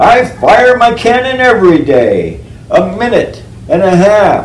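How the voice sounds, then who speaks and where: Over clear background noise, a man uses a raised, projected, put-on character voice at an extremely high pitch and a fairly slow pace. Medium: read story.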